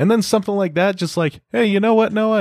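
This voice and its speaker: In a dry, close sound with no echo, a man speaks at a high pitch. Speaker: guest music reviewer. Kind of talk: casual banter, music review. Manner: joking, laughs often.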